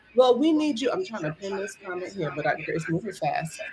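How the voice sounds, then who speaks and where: A woman with a Brooklyn accent at a moderate pace, her pitch swinging very widely. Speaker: entrepreneur and live-stream host. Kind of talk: casual chat. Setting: live stream. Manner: animated.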